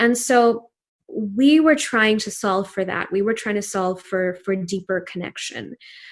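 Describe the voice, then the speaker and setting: Over a quiet background, a woman with a Pakistani accent talks at a fairly slow pace in a medium pitch. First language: Urdu. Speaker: entrepreneur. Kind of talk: interview.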